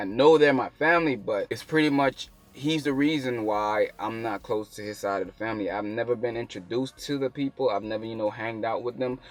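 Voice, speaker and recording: Here a man talks at a very fast pace. His pitch is medium and varies in an ordinary way. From Bahamas. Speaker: YouTuber. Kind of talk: personal storytelling.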